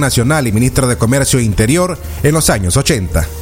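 Against noticeable background noise, a man speaks with lively intonation at a moderate pace. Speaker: radio news anchor. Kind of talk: news reading.

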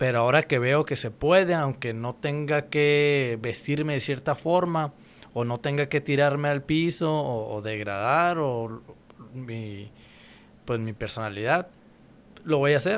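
At a fairly slow pace, a man speaks in a normal speaking voice with fairly high pitch and ordinary pitch variation. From Mexicali, Mexico. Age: 30s. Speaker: rapper. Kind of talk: casual chat.

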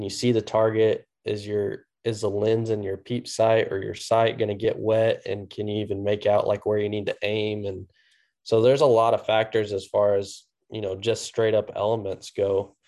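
Against a quiet background, a man with a Midwestern American accent and a fairly low pitch speaks at a moderate pace in a monotone, flat intonation with a dark, mellow tone. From US Midwest, central Missouri. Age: 20s. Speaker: competitive archer and bow hunter. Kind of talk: casual interview.

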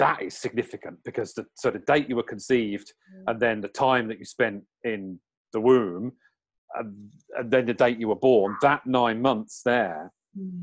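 A medium-pitched man with an English accent speaks at a moderate pace with ordinary pitch variation and big swings in loudness. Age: 40s. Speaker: numerologist and spiritual teacher. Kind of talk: interview.

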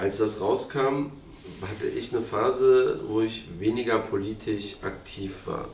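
A man at a medium pitch, fairly slow pace and fairly even intonation, amid audible room echo and noticeable background noise. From Berlin, Neukölln. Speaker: political candidate. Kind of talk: interview.

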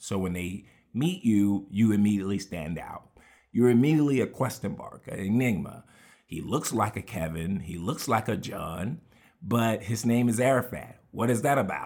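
With an American accent, a man in an unremarkable speaking voice talks at medium pitch and a moderate pace, his intonation lively and his loudness swinging widely, on a very clean recording with a silent background. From Houston, Texas. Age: 30s. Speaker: podcaster. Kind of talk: personal memoir monologue.

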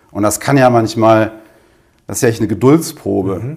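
A man talks in a normal speaking voice, keeping a medium pitch, ordinary pitch variation and a fairly quick pace. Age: 40s. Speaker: business owner and coach. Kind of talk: interview.

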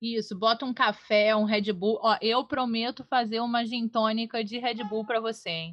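A woman talks at a moderate pace with hardly any pauses, her pitch fairly high. Hers is an unremarkable speaking voice. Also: fairly even intonation. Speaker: podcast co-host. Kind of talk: casual chat.

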